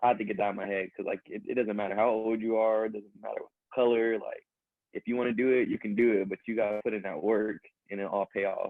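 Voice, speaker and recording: Talking very fast, a man with an American accent keeps a monotone, flat intonation. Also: medium pitch for a man. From US West, Sacramento, California. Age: 20s. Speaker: rapper. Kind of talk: casual chat. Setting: podcast interview.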